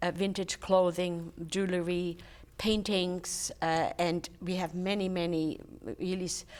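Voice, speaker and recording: The speaker uses a German accent, talking at a fairly slow pace in a monotone, flat intonation. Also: woman. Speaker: charity volunteer, retired teacher. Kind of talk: interview.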